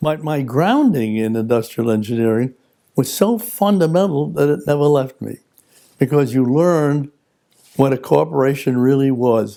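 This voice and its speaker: A man with a New York accent speaks in a dark, mellow tone at a fairly high pitch, with ordinary pitch variation. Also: moderate pace. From New York City, the Bronx. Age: 90s. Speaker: retired lawyer. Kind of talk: personal reflection interview.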